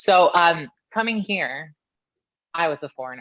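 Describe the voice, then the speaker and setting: The speech has lively intonation and an animated tone, delivered with an American accent. Its tone is bright and sharp. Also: woman. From Philippines, then Canada. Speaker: professional wrestler. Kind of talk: casual chat.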